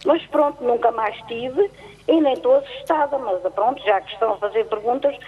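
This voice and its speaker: A moderate pace and lively intonation against noticeable background noise. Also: woman, high pitch for a woman. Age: 70s. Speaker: caller. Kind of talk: casual chat. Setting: phone call. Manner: halting.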